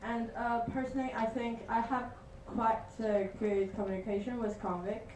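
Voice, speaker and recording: A woman speaks at a moderate pace in a fairly high, monotone, flat voice. Noticeable background noise and audible room echo fill the recording. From China. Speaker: student network partnership manager. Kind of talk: answering questions; meeting report.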